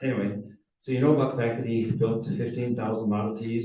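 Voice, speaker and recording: Audible room echo surrounds a man with an American accent who talks at a fairly quick pace in a medium pitch, somewhat breathy, with a dark, mellow tone. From Wisconsin, Door County. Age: 70s. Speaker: car club presenter. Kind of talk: presentation to a club audience. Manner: hesitant, many fillers.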